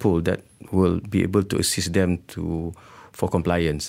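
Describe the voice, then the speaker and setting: A man's very deep, low voice with a dark, mellow tone at a moderate pace. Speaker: government agency chairman. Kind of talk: radio interview. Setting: radio studio. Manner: hesitant, many fillers.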